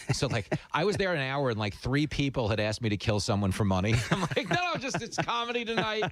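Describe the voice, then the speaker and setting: Over noticeable background noise, a man rattles along at a very fast pace with hardly any pauses, his fairly high voice swinging very widely in pitch. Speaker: radio show host and comedian. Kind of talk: casual chat. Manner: animated.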